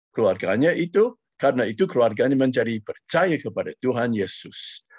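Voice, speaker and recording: Dry and close with no echo, a man with an English accent talks at a fairly high pitch with lively intonation. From United States. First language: English (speaking Indonesian). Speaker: missionary preacher. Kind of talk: sermon. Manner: halting.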